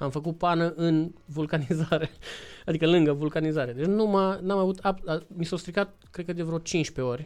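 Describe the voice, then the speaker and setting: Against a quiet background, a man with a high pitch talks in an animated tone at a moderate pace. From Romania. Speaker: motorcycle traveler. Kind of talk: casual interview chat.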